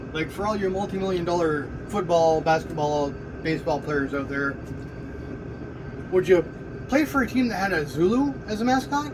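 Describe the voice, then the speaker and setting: A man's high voice with lively intonation and a Canadian accent, long, frequent pauses, audible room echo and noticeable background noise. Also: moderate pace. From Ontario, Canada. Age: 50s. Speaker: commentator. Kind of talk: opinion rant. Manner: animated.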